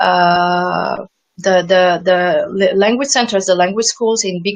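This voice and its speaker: A woman with a non-native accent speaks very slowly at medium pitch, with ordinary pitch variation. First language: not English. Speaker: former English teacher abroad. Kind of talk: interview. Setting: video call. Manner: halting, many repetitions.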